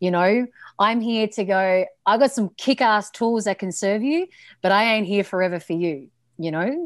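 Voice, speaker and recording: A woman with a medium pitch speaks at a moderate pace in an energetic tone with lively intonation. The sound is dry and close with no echo, on a very clean recording with a silent background. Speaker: coach and podcast host. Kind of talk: personal story in interview.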